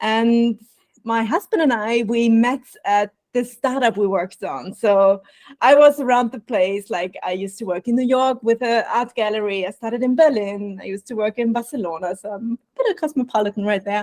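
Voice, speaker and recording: In a dry, close sound with no echo, a woman with an Austrian accent speaks at a fairly high pitch with ordinary pitch variation. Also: moderate pace. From Austria, Vienna. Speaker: burnout prevention coach. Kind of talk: podcast interview.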